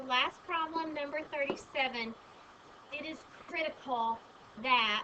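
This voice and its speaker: A woman uses a raised, projected voice at a fairly slow pace with ordinary pitch variation. Noticeable background noise is present. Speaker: math teacher. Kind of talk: lecture.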